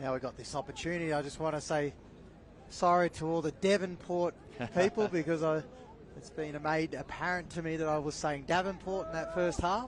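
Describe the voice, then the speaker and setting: In a plain, everyday voice, a man speaks fairly quickly at a fairly high pitch with fairly even intonation. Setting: sports commentary broadcast.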